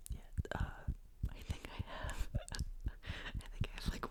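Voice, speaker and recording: Noticeable background noise fills the clip. Within it, a man whispers. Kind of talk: ASMR whispered-style rambling talk to camera. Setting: close microphone, home recording.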